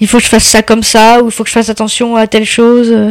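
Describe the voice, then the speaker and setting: A woman with a fairly high pitch. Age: 30s. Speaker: blind mother. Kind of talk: interview. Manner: halting.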